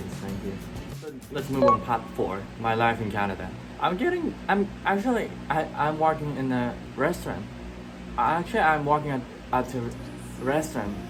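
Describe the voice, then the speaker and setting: A man with a Japanese accent talks at a moderate pace, leaving long, frequent pauses, while music plays in the background. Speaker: student abroad. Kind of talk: casual talk to camera.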